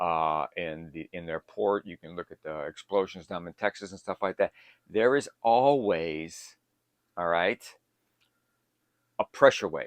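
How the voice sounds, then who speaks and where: With an American accent, a man speaks at a fairly slow pace, leaving long, frequent pauses. His very deep, low voice has ordinary pitch variation, recorded dry and close with no echo. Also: big swings in loudness. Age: 60s. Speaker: survival prepping YouTuber. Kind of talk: casual tutorial monologue. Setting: home bunker. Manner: conversational with frequent fillers.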